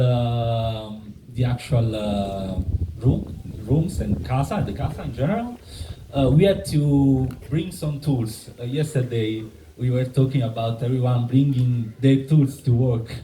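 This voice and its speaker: Over noticeable background noise and audible room echo, a man talks at a fairly slow pace in a medium pitch with ordinary pitch variation. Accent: Italian. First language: Italian. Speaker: member of a community building collective. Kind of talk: conference presentation. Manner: halting, many fillers and restarts.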